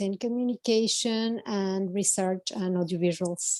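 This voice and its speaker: Fairly even in intonation, a woman speaks in a Spanish accent, the sound dry and close with no echo. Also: quiet background. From Spain. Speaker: communication specialist. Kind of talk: self-introduction.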